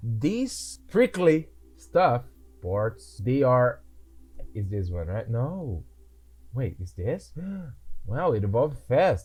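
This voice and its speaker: The speech comes at a very slow pace with long, frequent pauses, very wide pitch swings, and a somewhat breathy quality. The recording is very clean, with a silent background. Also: man, medium pitch for a man. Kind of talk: casual gameplay commentary.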